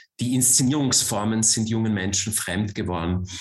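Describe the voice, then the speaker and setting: With a slight Viennese accent, a man speaks at a medium pitch in a somewhat breathy voice. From Austria, Vienna. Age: 40s. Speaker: author and cultural manager. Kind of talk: talk.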